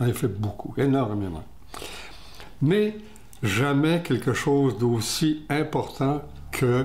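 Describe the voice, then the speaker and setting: With audible room echo, a man speaks at a very slow pace, somewhat breathy, with lively intonation. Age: 80s+. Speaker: retired TV director interviewed about his eye disease. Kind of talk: interview.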